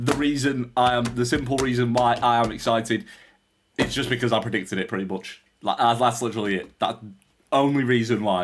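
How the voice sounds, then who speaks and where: A man with a British accent talks at a fairly quick pace, medium pitch and ordinary pitch variation. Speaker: reaction video youtuber. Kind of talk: casual reaction commentary. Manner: loud.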